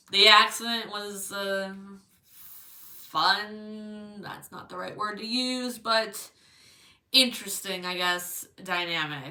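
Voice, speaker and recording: A very slow pace with long, frequent pauses and ordinary pitch variation. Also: woman, medium pitch for a woman. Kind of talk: casual video review. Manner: casual, hesitant.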